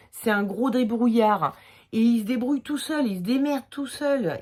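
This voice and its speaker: On a very clean recording with a silent background, a woman in a Limoges accent speaks at a moderate pace with lively intonation. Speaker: tarot reader. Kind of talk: tarot reading video. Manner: hesitant, casual with fillers.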